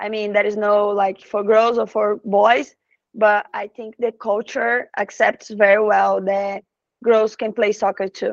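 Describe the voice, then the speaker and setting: With a Brazilian accent, the speaker goes at a fairly slow pace in monotone, flat intonation, the sound dry and close with no echo. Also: woman, fairly high pitch for a woman. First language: Portuguese. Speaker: professional soccer player. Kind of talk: interview in English. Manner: halting, with hesitations.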